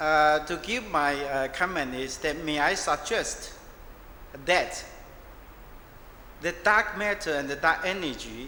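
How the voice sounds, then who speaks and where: A man with a fairly high pitch and ordinary pitch variation speaks at a very slow pace with long, frequent pauses, amid noticeable background noise and audible room echo. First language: not English. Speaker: audience member asking a question. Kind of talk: question from the floor. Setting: at audience microphone in lecture hall. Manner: halting.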